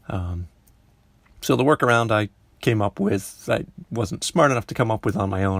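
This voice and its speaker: Speech at a moderate pace comes through dry and close with no echo, on a very clean recording with a silent background. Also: man. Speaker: comic artist. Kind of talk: casual voice-over commentary on drawing timelapse. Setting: home recording. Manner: casual, rambling, hesitant.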